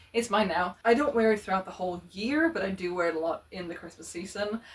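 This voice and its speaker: Noticeable background noise under a woman at medium pitch. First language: not English. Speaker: fashion vlogger. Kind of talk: casual chat.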